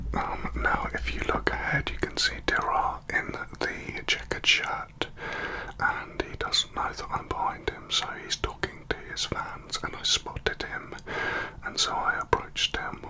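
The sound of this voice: A man's slow whisper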